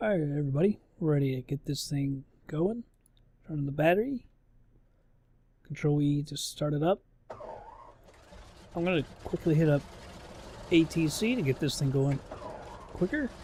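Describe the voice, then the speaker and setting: A man's fairly high, somewhat breathy voice with a dark, mellow tone, ordinary pitch variation and long, frequent pauses. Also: moderate pace. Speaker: gaming YouTuber. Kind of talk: let's play commentary. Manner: casual.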